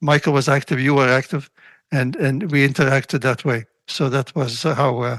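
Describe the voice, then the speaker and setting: There is a quiet background behind a man with a fairly high pitch. He speaks at a moderate pace with fairly even intonation. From Latvia, then Belgium, raised in Canada from 1951. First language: Russian. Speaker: retired engineer and volunteer. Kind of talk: casual interview. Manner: halting, many fillers.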